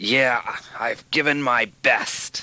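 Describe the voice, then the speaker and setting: Putting on a character voice, a man sounds raspy. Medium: audio drama. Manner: curt.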